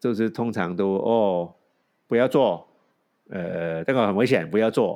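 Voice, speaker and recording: A man speaks at a fairly low pitch with ordinary pitch variation and a dark, mellow tone. His pace is fairly slow, with long, frequent pauses. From Hong Kong, raised in San Francisco. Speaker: podcast co-host. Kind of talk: casual chat. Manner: halting.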